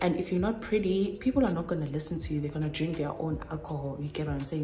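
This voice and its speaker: A woman with a very deep, low pitch speaks with audible room echo and music in the background. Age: 20s. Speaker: YouTuber. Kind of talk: casual advice talk to camera. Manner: chatty.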